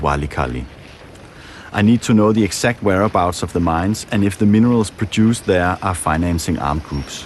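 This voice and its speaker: A man with a Danish accent, very deep and low in pitch, with ordinary pitch variation, a fairly quick pace and noticeable background noise. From Denmark. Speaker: documentary filmmaker. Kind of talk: documentary narration; interview.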